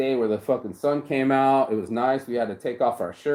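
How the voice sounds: The clip features a natural reading voice.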